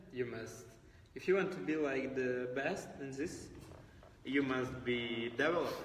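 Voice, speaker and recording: A man talks at a fairly slow pace and medium pitch, with ordinary pitch variation and long, frequent pauses. Audible room echo and noticeable background noise surround him. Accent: Ukrainian. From Ukraine. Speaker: cruise ship fitness trainee. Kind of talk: casual chat.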